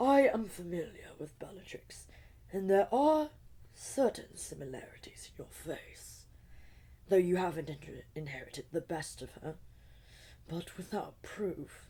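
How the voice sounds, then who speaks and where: A woman's put-on character voice at medium pitch, moderate pace, very wide pitch swings, and long, frequent pauses. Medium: read story. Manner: cold, imperious.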